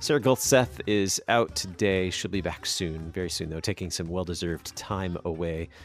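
Music plays behind a man with a very deep, low voice. He talks at a moderate pace with ordinary pitch variation and hardly any pauses. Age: 40s. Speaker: radio host. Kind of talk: radio interview. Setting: radio studio.

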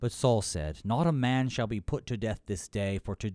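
The voice reads without strain, and its pitch varies in an ordinary way.

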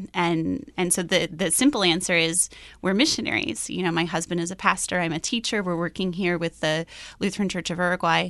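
A woman with an American accent speaks in a fairly low voice against a quiet background. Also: ordinary pitch variation, fairly quick pace. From US Midwest, Iowa. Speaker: missionary teacher. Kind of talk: interview. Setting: studio.

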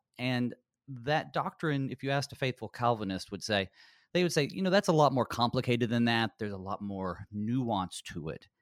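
An unremarkable speaking voice, this man talks at a moderate pace with lively intonation and medium pitch, with an American accent, on a very clean recording with a silent background. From US South, mountains of North Carolina. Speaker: pastor. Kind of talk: theological discussion.

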